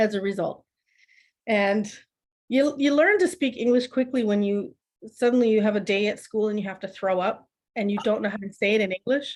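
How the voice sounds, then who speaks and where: Speaking at a fairly quick pace with a Canadian accent, a woman's fairly high voice shows ordinary pitch variation in a very clean recording with a silent background. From Ontario, Canada (Oakville, Powassan). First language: German. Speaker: artist, adoptee. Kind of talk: interview storytelling. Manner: animated.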